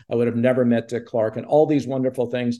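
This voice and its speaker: Speaking with a Canadian accent, a man has a medium pitch and a dark, mellow tone. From Quebec, Montreal. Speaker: television producer. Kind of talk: interview.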